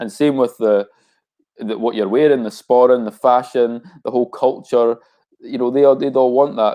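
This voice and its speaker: Speaking in a Scottish accent, a man talks at a fairly quick pace and a medium pitch. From Scotland. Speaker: rapper. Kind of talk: casual interview.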